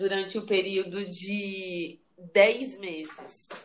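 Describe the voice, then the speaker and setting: A woman is talking. She speaks in a monotone with flat intonation. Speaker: podcast host. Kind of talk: casual chat.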